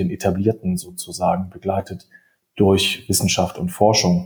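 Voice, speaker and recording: At a moderate pace, a man speaks with a somewhat breathy, dark, mellow tone. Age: 30s. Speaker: insurtech hub managing director. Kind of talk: podcast interview. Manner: fluent, articulate.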